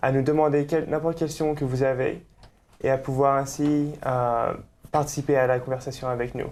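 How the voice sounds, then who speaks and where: The man speaks fairly quickly at a medium pitch. His intonation is monotone and flat. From France, Nantes. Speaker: student co-host of religious show. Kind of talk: casual interview chat.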